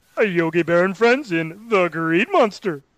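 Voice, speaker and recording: Someone performs a put-on character voice at a middle pitch and a moderate pace against a quiet background. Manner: cartoon impression.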